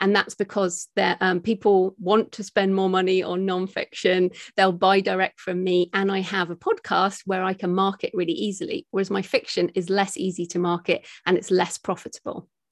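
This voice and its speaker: A woman with a British accent, medium pitch and monotone, flat intonation at a moderate pace, in a dry, close sound with no echo. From UK. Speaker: author and podcaster. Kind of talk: casual interview chat. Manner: fluent, explanatory.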